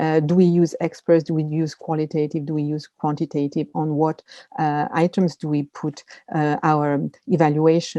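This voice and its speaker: A woman with a French accent speaks with very deep, low pitch, a dark, mellow tone and fairly even intonation, recorded dry and close with no echo against a quiet background. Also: moderate pace. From France. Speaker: media literacy expert. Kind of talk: webinar presentation. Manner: hesitant, many fillers.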